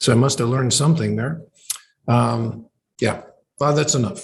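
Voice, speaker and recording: A somewhat breathy man with a Canadian accent, medium pitch and ordinary pitch variation. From Canada, Ontario (Oshawa). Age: 70s. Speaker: professor. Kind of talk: interview conversation. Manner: halting, many fillers.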